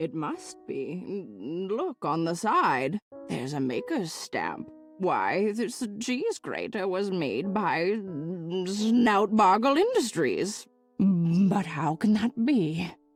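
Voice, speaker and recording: With faint music in the background, a woman uses a put-on character voice at a medium pitch and a very slow pace. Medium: video game. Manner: fussy, calls everyone dearie.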